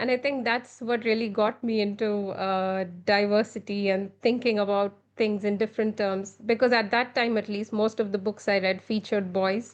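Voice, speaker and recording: A woman with an Indian accent speaks in a monotone with flat intonation. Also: moderate pace. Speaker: children's author and illustrator. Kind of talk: podcast interview.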